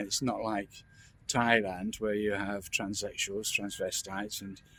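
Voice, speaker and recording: This man has a London accent. His pitch is fairly low. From London, England. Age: 60s. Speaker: vlogger. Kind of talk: casual monologue. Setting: outdoors in a park. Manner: halting, many repetitions and false starts.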